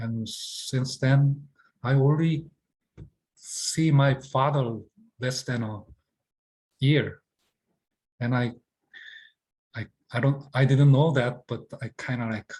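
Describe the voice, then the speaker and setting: Somewhat breathy, a man speaks at a very slow pace with long, frequent pauses. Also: medium pitch for a man, fairly even intonation. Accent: non-native. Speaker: acting teacher. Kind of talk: lecture. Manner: halting.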